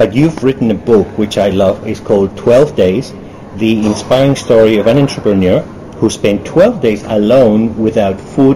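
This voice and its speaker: Noticeable background noise runs under a man's voice. He speaks at a moderate pace and medium pitch with ordinary pitch variation. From Germany. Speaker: interviewer. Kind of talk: interview.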